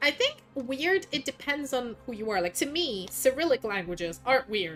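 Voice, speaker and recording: A woman with a non-native accent and a high pitch speaks at a moderate pace, her pitch swinging very widely. Music plays behind her. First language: not English. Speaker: vtuber streamer. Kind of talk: casual chat. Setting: livestream.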